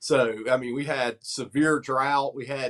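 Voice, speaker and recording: Here a man speaks with a Southern US accent. His pitch is fairly high. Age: 40s. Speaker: lawn care operator. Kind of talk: casual chat.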